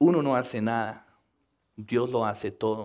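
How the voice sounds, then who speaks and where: With an English accent, a man of medium pitch speaks at a very slow pace with ordinary pitch variation in a very clean recording with a silent background. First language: English (speaking Spanish). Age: 50s. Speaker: missionary and youth minister. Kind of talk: sermon.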